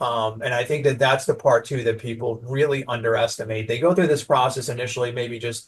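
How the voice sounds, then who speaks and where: A somewhat breathy man with a slight New York accent, at a moderate pace with hardly any pauses. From New York (Staten Island). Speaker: branding agency owner. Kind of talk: podcast interview. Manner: animated.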